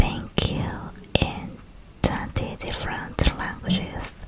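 Whispering in a calm tone, a woman speaks at a very slow pace. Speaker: ASMR creator. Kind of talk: ASMR whisper. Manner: whispered; soft, calm, repetitive. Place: home room. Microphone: studio mic.

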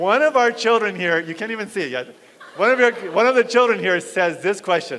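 A high-pitched man with an animated tone and lively intonation at a fairly quick pace, light background noise behind him. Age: 50s. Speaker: pastor. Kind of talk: sermon. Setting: church fellowship hall. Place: hall.

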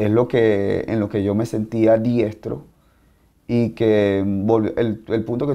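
Against a quiet background, a man speaks in a fairly low pitch with a dark, mellow tone and ordinary pitch variation. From Venezuela, Maracaibo; Venezuela. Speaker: martial arts instructor. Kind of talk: interview. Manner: halting. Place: office.

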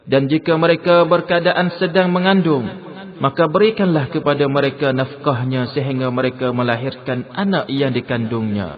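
A man at a moderate pace, fairly high in pitch with ordinary pitch variation, against noticeable background noise. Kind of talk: scripted translation reading of scripture. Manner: formal, measured, steady.

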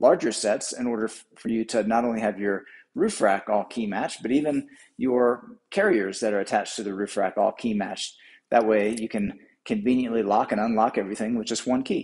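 Against a quiet background, a man talks at a moderate pace with ordinary pitch variation. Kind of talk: tutorial. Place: shop.

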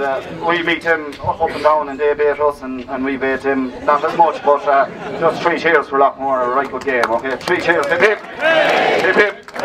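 Loud background noise fills this recording. Over it, a man with a Tipperary accent speaks at a fairly high pitch. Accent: Irish, Tipperary. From Ireland. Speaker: hurling team captain. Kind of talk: acceptance speech. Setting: outdoors at sports event. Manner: casual, hesitant. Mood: jovial, slightly flustered. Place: street. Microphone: camera far.

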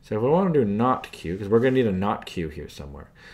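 A man's fairly low voice racing at a very fast pace with very wide pitch swings. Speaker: math tutor. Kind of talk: tutorial.

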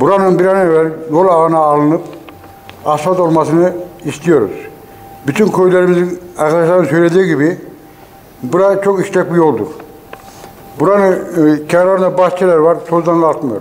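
His high pitch stays fairly even as this man talks at a moderate pace. He takes long, frequent pauses. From Mut, Mersin, Turkey. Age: 70s. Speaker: villager and farmer. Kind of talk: interview statement. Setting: outdoors. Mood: earnest complaint about dusty road. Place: hall.

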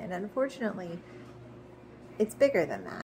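Light background noise sits behind a woman's voice. She speaks with lively intonation. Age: 40s. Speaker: video blogger sharing her Alzheimer's risk. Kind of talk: personal explainer monologue. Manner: some hesitations. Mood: calm, earnest, hopeful. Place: home room. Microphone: phone near.

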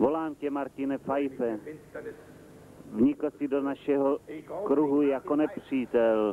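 A man talks very slowly, and his intonation stays fairly even. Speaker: rapid film voice-over dubber.

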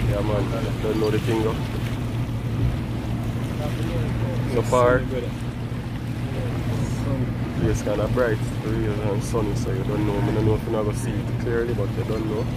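Amid loud background noise, a man speaks with long, frequent pauses, and the sound itself is dry with no echo. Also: moderate pace. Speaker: travel vlogger. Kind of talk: casual vlog chat. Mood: relaxed, cheerful. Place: boat. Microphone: lapel.

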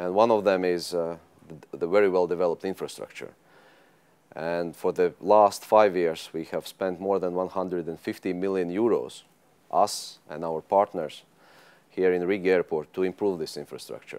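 In a very deep, low pitch, a man talks at a moderate pace with monotone, flat intonation. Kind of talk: interview answer. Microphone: lapel.

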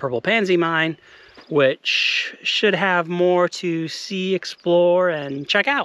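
A man speaks at a very slow pace in a dry sound with no echo. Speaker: outdoor explorer vlogger. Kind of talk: casual vlog chat. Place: open country. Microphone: phone near.

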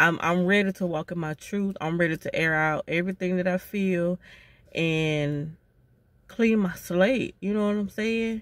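A woman speaks at a fairly slow pace with ordinary pitch variation. The sound is dry, with no echo. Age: 40s. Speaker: vlogger. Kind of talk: casual monologue. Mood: earnest, reflective, apologetic. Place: car. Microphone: phone near.

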